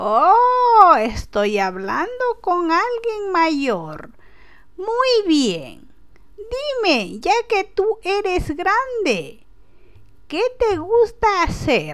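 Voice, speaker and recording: A woman uses a put-on character voice with an extremely high pitch and very wide pitch swings. Her pace is very slow. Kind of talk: prank phone call character. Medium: solo performance. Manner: warm, gentle, affectionate.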